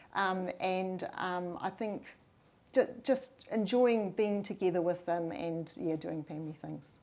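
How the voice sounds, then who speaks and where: At a fairly slow pace, a woman with a New Zealand accent speaks at medium pitch with ordinary pitch variation. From New Zealand, Waikato. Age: 60s. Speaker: mayoral candidate. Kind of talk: interview. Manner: hesitant, many fillers.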